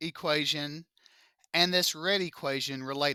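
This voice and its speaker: Heard on a very clean recording with a silent background, a man with a Southern US accent speaks at a high pitch in a bright, sharp tone. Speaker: math teacher. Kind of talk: classroom lecture. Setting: classroom with students. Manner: slow; animated.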